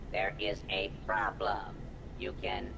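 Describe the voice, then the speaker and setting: Over loud background noise, a put-on character voice drawls at a very slow pace. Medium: video game. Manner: formal, cold, officious.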